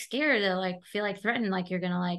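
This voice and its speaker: An American accent marks this woman's bright, sharp tone. Behind her, the background is quiet. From New York, Brooklyn (Flatbush). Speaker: social media influencer. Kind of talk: casual interview chat. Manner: animated, uses voices when quoting people.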